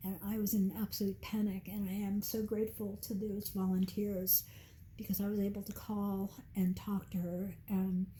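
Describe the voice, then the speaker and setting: A woman's somewhat breathy voice at medium pitch, dark and mellow in tone, with monotone, flat intonation and a moderate pace. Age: 70s. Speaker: nurse and cancer survivor. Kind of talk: interview.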